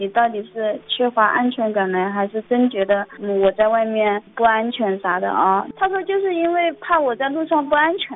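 A woman speaks at a fairly high pitch in an ordinary speaking voice. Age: 20s. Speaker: radio call-in caller, shop assistant. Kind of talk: radio call-in personal story.

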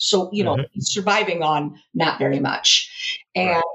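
Her intonation moves in a lively way. This woman keeps to a moderate pace. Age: 40s. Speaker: engineering graduate student. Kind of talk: casual interview. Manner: animated.

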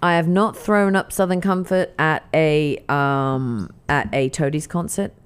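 With an East Anglian accent, a woman talks at a fairly slow pace and fairly low pitch, with ordinary pitch variation, very even loudness and hardly any pauses. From England, Norwich. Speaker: podcast co-host. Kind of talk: casual chat.

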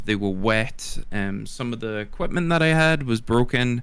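This man has a Scottish accent and a medium pitch. His pitch varies in an ordinary way. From Scotland. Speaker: streamer and podcast co-host. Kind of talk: casual podcast chat.

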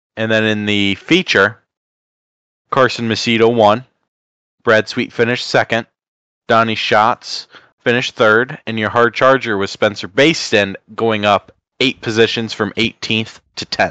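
A man puts on a robotic character voice at a medium pitch and a moderate pace. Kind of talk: flat announcer-style results reading. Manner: robotic monotone.

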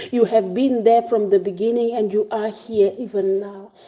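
Her tone dark and mellow, a woman with a fairly high voice speaks at a moderate pace with ordinary pitch variation. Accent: South African. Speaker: church pastor leading prayer. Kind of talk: fervent prayer, intercessory, after a scripture reading. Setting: online devotion broadcast to congregation. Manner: fervent, earnest, imploring; rhythmic, repeating phrases with rising intensity.

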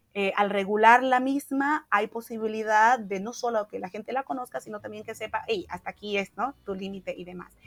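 In a Santa Cruz Bolivian accent, a woman with a fairly high pitch and ordinary pitch variation talks at a fairly quick pace, the sound dry and close with no echo. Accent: Santa Cruz (Camba) Bolivian Spanish. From Bolivia, Santa Cruz. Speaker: social activist. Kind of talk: interview conversation.

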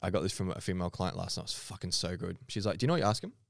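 At a very fast pace and with lively intonation, a man with an Australian accent speaks on a very clean recording with a silent background. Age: 30s. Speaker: podcast host and fitness coach. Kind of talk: casual chat.

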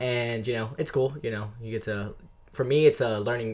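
A man with an American accent and an unremarkable speaking voice talks at a fairly quick pace, at medium pitch, with fairly even intonation. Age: 19. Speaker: podcast guest. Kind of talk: casual chat. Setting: studio.

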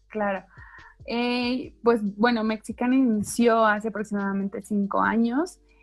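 A woman's somewhat breathy voice moves at a fairly slow pace, her intonation fairly even. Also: fairly high pitch for a woman, very clean recording, silent background. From Mexico, Chiapas. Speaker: founder of a pet adoption project. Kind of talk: casual interview chat.

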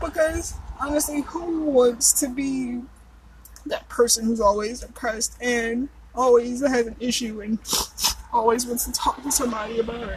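A woman's high voice moves at a moderate pace, its pitch varying in an ordinary way amid noticeable background noise. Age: 30s. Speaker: podcast host. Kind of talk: casual solo monologue. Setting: outdoors in a park.

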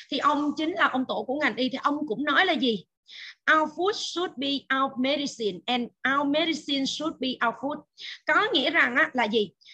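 Against a quiet background, a woman projects a raised, high-pitched voice with a bright, sharp tone, lively intonation and a moderate pace. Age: 40s. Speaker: nutrition expert. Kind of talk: lecture. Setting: video call.

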